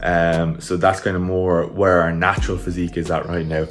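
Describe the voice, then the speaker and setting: A fairly quick pace with faint music in the background. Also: man. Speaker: fitness vlogger. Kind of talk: casual vlog chat. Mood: relaxed, just woke up. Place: kitchen. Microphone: phone near.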